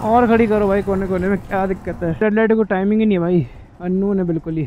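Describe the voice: Fast and high-pitched, a man talks with fairly even intonation.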